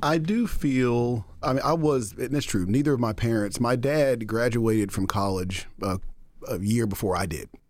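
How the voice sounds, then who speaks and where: A man talks at a moderate pace with an American accent and a plain, everyday voice. His pitch is medium, with ordinary pitch variation. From Texas (Denton and Dallas). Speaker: music nonprofit executive director. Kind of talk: interview.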